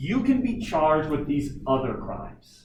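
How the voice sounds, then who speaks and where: Audible room echo surrounds a man speaking at a fairly slow pace. His pitch is fairly high, with ordinary variation. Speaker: teacher. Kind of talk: lecture.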